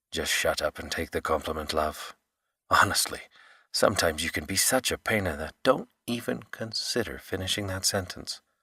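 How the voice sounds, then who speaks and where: A man uses a put-on character voice that is very deep, low, gravelly and growling. He talks at a moderate pace with lively intonation. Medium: read story. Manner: teasing, flirtatious.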